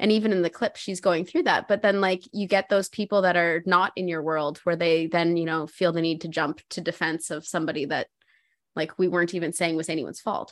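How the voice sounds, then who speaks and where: In front of a quiet background, a woman with an unremarkable speaking voice talks at a fairly quick pace, her pitch fairly low and her intonation fairly even. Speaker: mother and cancer patient. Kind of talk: casual chat.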